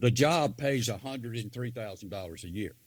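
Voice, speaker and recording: Fairly quick male speech with an Alabama accent and lively intonation, on a very clean recording with a silent background. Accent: US Southern (Alabama). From northeast Alabama. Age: 70s. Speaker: political candidate. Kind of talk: interview. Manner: animated.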